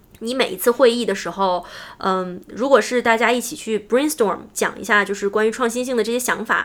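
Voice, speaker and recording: In a very clean recording with a silent background, a woman with a plain, everyday voice speaks at a fairly quick pace, her pitch varying in an ordinary way. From mainland China. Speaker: UX designer. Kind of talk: interview.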